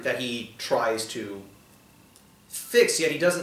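A man at medium pitch speaks at a slow pace with lively intonation amid strong room echo.

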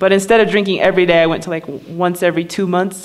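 A woman talking at a very fast pace. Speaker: spoken word poet and musician; spoken word poet. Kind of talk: personal story told to a live audience. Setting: live theater performance. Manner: casual, conversational. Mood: reflective, candid. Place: stage. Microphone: studio mic.

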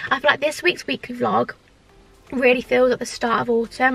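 Fairly quick and high-pitched, a woman's voice comes through dry with no echo, with faint music in the background. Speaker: vlogger. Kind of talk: casual vlog chat. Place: car.

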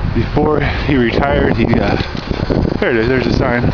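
Loud background noise accompanies a man who talks at a moderate pace, his pitch varying in an ordinary way. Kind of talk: casual vlog commentary. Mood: wry, joking. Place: bicycle. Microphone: phone near.

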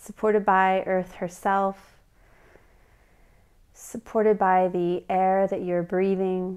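Soft-spoken and calm in tone, a woman talks at a very slow pace. Her intonation is monotone and flat, with a quiet background. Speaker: meditation guide. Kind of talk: guided meditation. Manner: calm, soft-spoken, slow. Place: home room.

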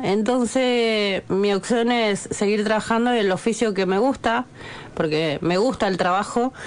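A woman speaks fairly slowly at medium pitch with lively intonation over noticeable background noise. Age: 40s. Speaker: bricklayer. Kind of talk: radio interview. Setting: radio studio.

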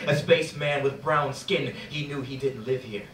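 Speech moves at a moderate pace. Audible room echo and light background noise are present. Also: man. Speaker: spoken word poet. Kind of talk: spoken word poetry performance. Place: stage. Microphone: camera far.

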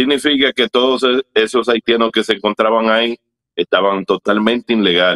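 At a moderate pace, an ordinary speaking voice keeps fairly even intonation and very even loudness. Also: man, medium pitch for a man. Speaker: activist leader. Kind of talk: interview.

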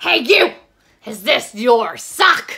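The speaker uses a put-on character voice. It is raspy and fairly high in pitch. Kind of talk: read-aloud storytelling. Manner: gasping.

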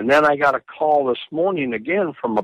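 Recorded dry with no echo over a quiet background, a man speaks. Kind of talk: phone conversation. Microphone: phone line.

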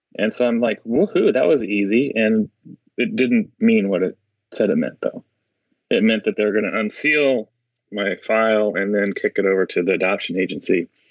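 A man with an American accent speaks at a moderate pace, his loudness very even throughout. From US Mid-Atlantic. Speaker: lawyer and adoptee rights advocate. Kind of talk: interview.

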